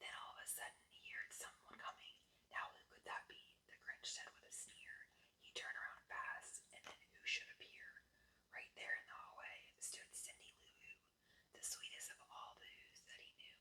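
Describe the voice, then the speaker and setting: Whispering at a moderate pace, a woman's voice swings widely in loudness. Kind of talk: children's book reading. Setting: close-up ASMR video.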